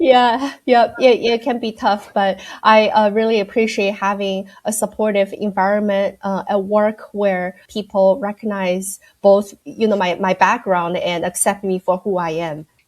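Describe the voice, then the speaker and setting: A woman's medium-pitched voice with a slight Chinese accent, fairly slow and fairly even in intonation. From China, Shanghai. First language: Mandarin Chinese. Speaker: accounting firm audit director. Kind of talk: podcast interview. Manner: hesitant, many fillers.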